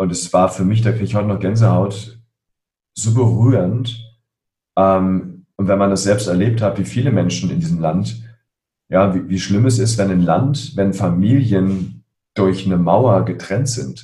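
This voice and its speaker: Speaking at a fairly slow pace, a man with a fairly low pitch, a dark, mellow tone, vocal fry and lively intonation is heard with audible room echo. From Berlin (Spandau), Germany. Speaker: coach and emotion expert. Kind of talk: interview.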